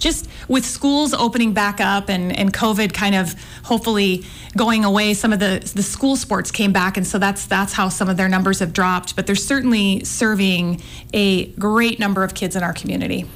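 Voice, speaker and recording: A woman speaks at a moderate pace with a medium pitch. She has an unremarkable speaking voice with very even loudness. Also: fairly even intonation. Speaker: women's basketball analyst. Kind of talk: casual interview.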